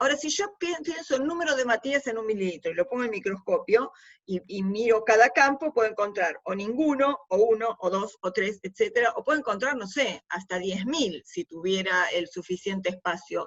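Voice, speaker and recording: A woman speaks fairly quickly in a normal speaking voice with lively intonation. Her pitch sits fairly high. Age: 60s. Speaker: university lecturer. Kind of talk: lecture. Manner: conversational.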